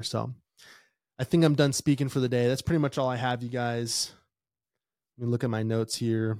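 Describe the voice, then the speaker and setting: Here a man speaks in a plain, everyday voice with an American accent, at medium pitch. His pace is fairly quick and his intonation fairly even. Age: 30s. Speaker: podcast host, microdosing content creator, Marine veteran. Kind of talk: casual solo monologue. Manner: casual, filler-heavy.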